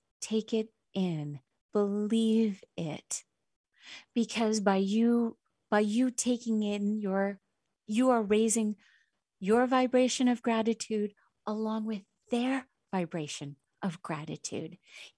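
A woman with a fairly high pitch and a dark, mellow tone talks at a very slow pace, with long, frequent pauses, ordinary pitch variation and a very clean recording with a silent background. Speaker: therapist and radio show host. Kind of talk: self-help radio monologue. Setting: internet radio studio.

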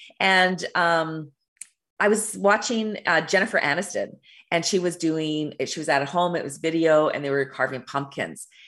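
A woman with a fairly low pitch speaks at a moderate pace and with ordinary pitch variation against a quiet background. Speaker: intuitive business coach and radio show host. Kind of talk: solo talk show monologue on spirituality and business. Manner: loud, resonant.

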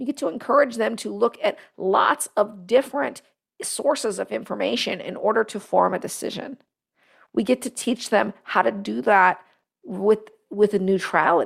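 Speaking at a moderate pace, a woman has a fairly high voice with vocal fry. Her pitch varies in an ordinary way. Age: 40s. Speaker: leadership podcast host and business advisor. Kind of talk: solo talk show monologue.

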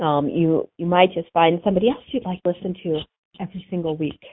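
A woman with an unremarkable speaking voice, fairly low in pitch, ordinary pitch variation, and a fairly quick pace. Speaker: animal chiropractor and radio host. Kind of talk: radio show monologue.

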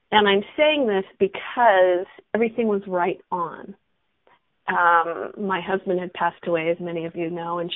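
At a moderate pace, a woman speaks at medium pitch in a normal speaking voice with ordinary pitch variation. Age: 60s. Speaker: radio host and coach. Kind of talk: casual interview chat. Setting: radio show.

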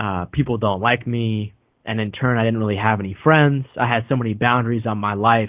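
Fairly quick and fairly even in intonation, a man talks in a plain, everyday voice. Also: medium pitch for a man. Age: 20s. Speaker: podcast host and author. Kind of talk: interview conversation.

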